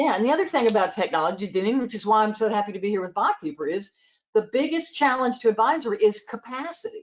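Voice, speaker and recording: With a Southern US accent, a woman speaks at a very fast pace in a fairly high pitch, her voice swinging very widely up and down. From US South, Georgia and South Carolina. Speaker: accountant and advisory trainer. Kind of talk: interview.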